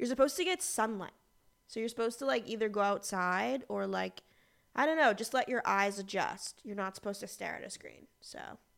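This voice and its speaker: Speaking at a fairly quick pace with lively intonation, a woman with an American accent uses a fairly high voice in a very clean recording with a silent background. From Boston, US Northeast. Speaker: magazine editor and podcast co-host. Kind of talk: casual chat. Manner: talkative.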